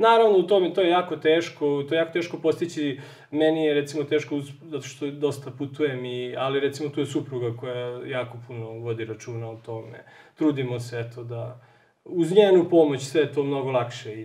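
Over a quiet background, a man talks at a fairly quick pace in a fairly high voice, with ordinary pitch variation and big swings in loudness. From Serbia. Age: 30s. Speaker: software engineer; interview guest. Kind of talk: TV interview. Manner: halting. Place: home room.

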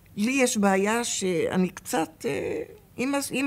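A woman speaks with a fairly high pitch. Her pace is very slow. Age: 80s+. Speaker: former hostage. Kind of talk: interview testimony. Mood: calm, reflective, sometimes wry. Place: hall.

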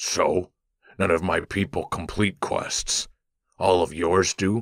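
A put-on character voice with a low pitch. It moves at a fairly slow pace. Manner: sullen, terse.

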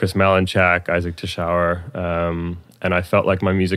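A man's very deep, low voice with a Californian accent, monotone and flat, at a moderate pace. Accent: Californian American. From US, Palo Alto, California. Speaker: electronic music producer and DJ. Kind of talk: casual interview chat.

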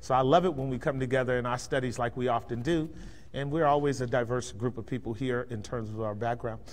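At a fairly quick pace, a man with an American accent speaks at medium pitch with ordinary pitch variation. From Bay Area, California; California. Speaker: pastor. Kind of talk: lecture. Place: church.

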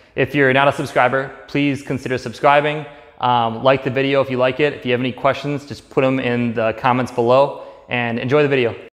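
Music plays in the background as a man talks at a fairly quick pace in a monotone, flat intonation. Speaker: DIY garage vlogger. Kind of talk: tutorial. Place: garage. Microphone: camera far.

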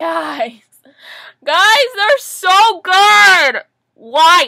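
A woman speaks at a very slow pace in a raised, projected voice with a bright, sharp tone. Her intonation is lively, and the background is quiet. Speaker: vlogger. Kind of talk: reaction video chat. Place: home room. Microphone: webcam.

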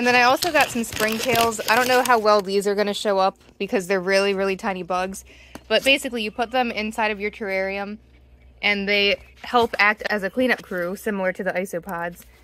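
A woman talks at a fairly quick pace in a bright, sharp tone. Her intonation is fairly even, and the sound is dry with no echo. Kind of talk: tutorial. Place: garden.

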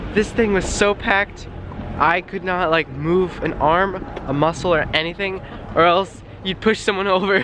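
Moderate pace over noticeable background noise. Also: man. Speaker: vlogger. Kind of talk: travel vlog. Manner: animated.

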